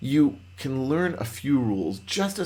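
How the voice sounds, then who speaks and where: Animated and somewhat breathy, a man talks at a medium pitch with very wide pitch swings. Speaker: Python trainer. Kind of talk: lecture. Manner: fast.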